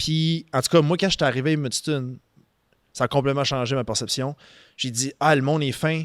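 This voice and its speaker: An unremarkable speaking voice belongs to a man with fairly high pitch and fairly even intonation. The sound is dry and close with no echo, in a very clean recording with a silent background. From southeastern New Brunswick, Canada (Saint-Antoine, Acadian area). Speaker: financial services business owner. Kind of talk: casual podcast interview. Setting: studio.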